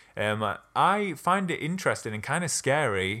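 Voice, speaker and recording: A man speaks in a bright, sharp tone on a very clean recording with a silent background. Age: 20s. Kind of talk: casual chat.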